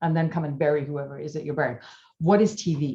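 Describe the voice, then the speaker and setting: Somewhat breathy and fairly low in pitch, a woman speaks in a dark, mellow tone. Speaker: media coach and speaker. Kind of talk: talk on a group call. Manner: animated.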